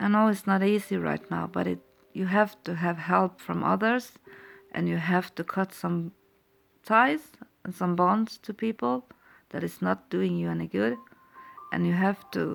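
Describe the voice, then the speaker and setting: Speaking at a fairly slow pace with long, frequent pauses, a woman with a Norwegian accent is captured in a very clean recording with a silent background. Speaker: tarot reader. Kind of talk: tarot reading. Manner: halting.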